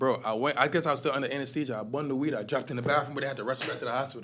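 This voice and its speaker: In a Jamaican accent, a man speaks very fast in an energetic tone. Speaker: rap artist. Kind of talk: interview answer.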